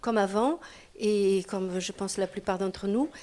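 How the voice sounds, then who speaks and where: On a very clean recording with a silent background, a woman with a fairly high pitch talks at a moderate pace with fairly even intonation. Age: 60s. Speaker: participant at a public discussion on old age. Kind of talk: group discussion. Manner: halting.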